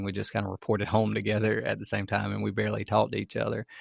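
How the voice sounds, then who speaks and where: On a very clean recording with a silent background and a dry, close sound with no echo, a man speaks in an American accent. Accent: Southern, toned down over the years. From US South, rural farm. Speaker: podcast co-host. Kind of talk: casual chat.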